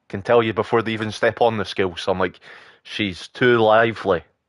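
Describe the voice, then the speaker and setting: The speaker delivers a monotone, flat intonation at a moderate pace. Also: man. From Britain. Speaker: gaming livestreamer. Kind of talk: casual livestream chat while gaming.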